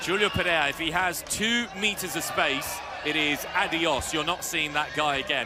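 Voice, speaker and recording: A man with a northern English accent and a high pitch, ordinary pitch variation, very even loudness and a moderate pace, with music in the background. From northern England. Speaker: football commentator. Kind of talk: live commentary.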